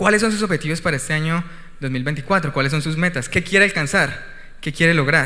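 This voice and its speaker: With audible room echo, a man talks at a very fast pace, his fairly high voice showing ordinary pitch variation. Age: 20s. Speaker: missionary and guest preacher. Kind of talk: sermon; testimony. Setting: church.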